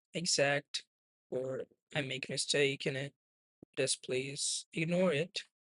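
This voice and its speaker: Speaking very slowly with a non-native accent, a man uses a fairly high pitch and ordinary pitch variation, the sound dry and close with no echo. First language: not English. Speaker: trading streamer. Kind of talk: live trading stream commentary. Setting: live stream. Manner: non-native, careful pronunciation.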